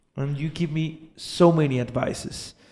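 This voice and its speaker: Speaking with a Spanish accent, a man goes at a very slow pace with fairly even intonation. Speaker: podcast host. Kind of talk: interview.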